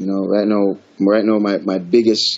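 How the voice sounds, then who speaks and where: A fairly low-pitched man with a Jamaican accent, at a moderate pace. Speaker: reggae artist. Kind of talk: interview. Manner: halting, repeats words.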